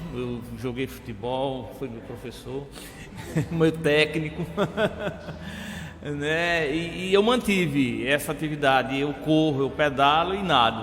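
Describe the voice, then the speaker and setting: Speaking very slowly with long, frequent pauses, a man with a fairly high voice shows big swings in loudness and ordinary pitch variation, heard through audible room echo and noticeable background noise. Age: 60s. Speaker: TV interviewer, former athlete. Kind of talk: interview. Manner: halting.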